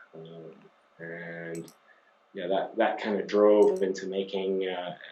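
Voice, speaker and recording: Speaking at a very slow pace with fairly even intonation, a man with a very deep, low pitch is heard with audible room echo. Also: big swings in loudness. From Scotland. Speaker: company CEO. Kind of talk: interview. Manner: hesitant, many fillers.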